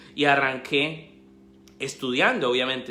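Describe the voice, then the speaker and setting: A speaker talks at a fairly slow pace in a Colombian accent. Audible room echo surrounds the voice. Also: man. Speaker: investment educator and author. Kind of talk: live stream talk. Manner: halting, many fillers.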